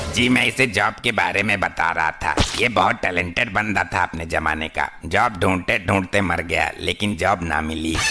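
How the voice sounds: Using a cartoonish character voice, a man speaks with a very deep, low pitch at a moderate pace amid clear background noise.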